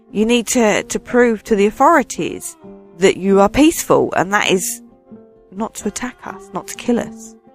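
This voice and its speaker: Over music in the background, a woman speaks at a moderate pace and fairly high pitch with lively intonation. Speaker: radio DJ. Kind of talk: casual dream recounting to camera.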